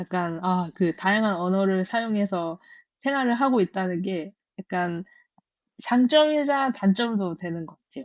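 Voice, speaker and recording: An unremarkable speaking voice from a woman at a medium pitch, with lively intonation, big swings in loudness and a fairly slow pace. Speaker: software engineer. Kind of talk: casual chat.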